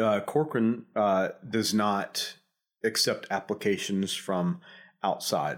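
Over a very clean recording with a silent background, a man in a coastal Georgia accent speaks at a fairly low pitch with fairly even intonation. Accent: Southern American, coastal Georgia. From US South, Savannah, Georgia. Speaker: real estate executive. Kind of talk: casual interview. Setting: studio. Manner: hesitant, many fillers.

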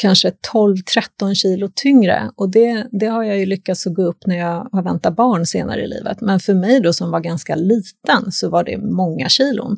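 Recorded very clean with a silent background and a dry, close sound with no echo, a normal speaking voice moves at a moderate pace with ordinary pitch variation. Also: woman. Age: 50s. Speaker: naprapath. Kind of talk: casual chat. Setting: studio.

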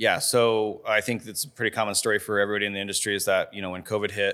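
A man with an American accent, fairly low in pitch, with a bright, sharp tone, monotone and flat intonation and a very fast pace, on a very clean recording with a silent background. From Colorado, Fort Collins. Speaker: pizza restaurant owner and chef. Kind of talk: casual interview chat.

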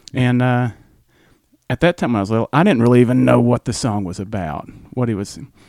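Medium-pitched man with a Southern accent, fairly quick pace, ordinary pitch variation and long, frequent pauses. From US South. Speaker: music fan, host's brother. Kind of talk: casual chat.

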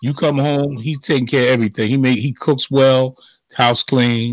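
The sound is dry and close with no echo. A man speaks at a medium pitch and a moderate pace. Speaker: radio host. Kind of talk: casual chat. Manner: animated.

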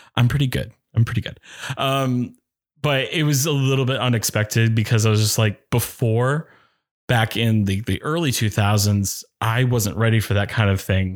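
A man with an American accent uses a plain, everyday voice at a medium pitch and moderate pace, with ordinary pitch variation, on a very clean recording with a silent background. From Maine, US (Oxford Hills, western Maine). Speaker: actor and music director. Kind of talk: casual interview chat.

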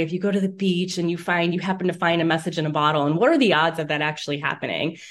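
Speaking at a very fast pace in an Inland North US accent, a woman with a medium pitch is heard in a very clean recording with a silent background. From Northeast Ohio, Lake County. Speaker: author and journalist. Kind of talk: interview.

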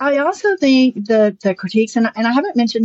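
This speaker has a Southern US accent and talks at a fairly quick pace. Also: woman. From US South. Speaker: lawyer and novelist. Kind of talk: interview.

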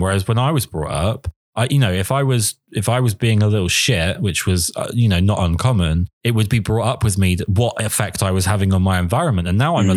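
A man with a southern English accent talks at a fairly quick pace and a fairly low pitch in a very clean recording with a silent background. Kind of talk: casual interview.

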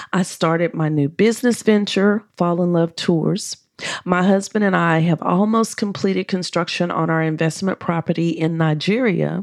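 A woman with an American accent has a plain, everyday voice at a fairly low pitch. She talks at a moderate pace with fairly even intonation and very even loudness. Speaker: dating and relationship coach. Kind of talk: solo podcast monologue with prayer.

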